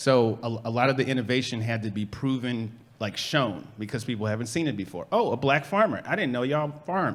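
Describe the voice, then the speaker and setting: A man speaks at a fairly quick pace with an American accent, his pitch medium and its variation ordinary. He has a plain, everyday voice and hardly pauses at all. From Chicago, South Side. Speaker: urban farmer and organizer. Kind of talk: panel discussion.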